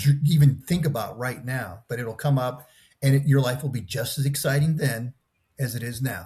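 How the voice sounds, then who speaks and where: A man's somewhat breathy voice, fairly high in pitch, at a moderate pace. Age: 60s. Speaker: podcast guest. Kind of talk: casual chat. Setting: video call.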